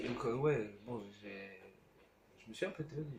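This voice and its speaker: A soft-spoken man with lively intonation amid noticeable background noise. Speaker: gaming youtuber. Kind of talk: let's play commentary. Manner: hesitant, many fillers.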